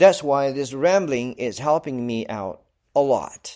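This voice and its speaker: Lively intonation comes through in a Malaysian accent on a very clean recording with a silent background. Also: man. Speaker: podcaster. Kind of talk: casual solo ramble. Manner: halting, many fillers.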